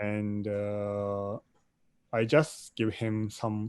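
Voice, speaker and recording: Over a quiet background, a man with a fairly low pitch speaks very slowly in a monotone, flat intonation. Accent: Japanese. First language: Japanese. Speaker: filmmaker. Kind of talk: interview. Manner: halting.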